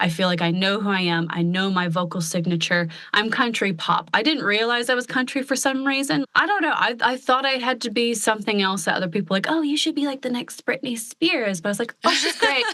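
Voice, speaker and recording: A woman with an American accent speaks at a fairly high pitch with lively intonation and hardly any pauses. Noticeable background noise runs behind her. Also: fairly quick pace. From US Pacific Northwest, Portland, Oregon. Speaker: country pop singer-songwriter. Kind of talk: casual podcast interview.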